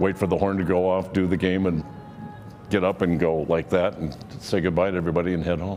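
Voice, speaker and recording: Music plays in the background. A man speaks with a very deep, low pitch. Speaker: public address announcer. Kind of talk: interview answer.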